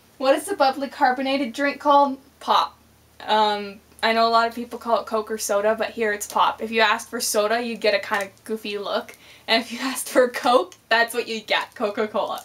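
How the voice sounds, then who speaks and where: In a Canadian accent, a woman with a fairly high pitch uses an ordinary speaking voice at a fairly quick pace. Her pitch varies in an ordinary way, while her loudness swings widely. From Canada. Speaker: vlogger. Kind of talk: casual vlog, accent tag.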